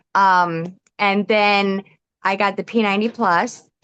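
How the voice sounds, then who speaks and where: A woman's normal speaking voice at medium pitch, fairly even in intonation, with a dry, close sound and no echo. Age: 40s. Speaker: customer giving testimonial. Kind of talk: testimony.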